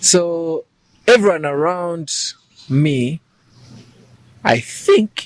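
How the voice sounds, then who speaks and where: In a dry, close sound with no echo, a high-pitched man speaks with long, frequent pauses. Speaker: musician and actor. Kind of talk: interview. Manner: soft-spoken.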